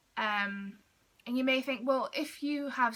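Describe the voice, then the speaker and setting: Speaking at a fairly slow pace, a woman uses a high pitch, ordinary pitch variation and a bright, sharp tone. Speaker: vlogger on mental health. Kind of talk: personal vlog talk to camera. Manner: loud.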